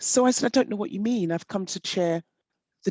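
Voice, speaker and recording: Talking at a fairly quick pace, a woman with an English accent makes very wide pitch swings. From south-west England (Devon, Somerset). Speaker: panel speaker on identity. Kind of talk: panel discussion talk.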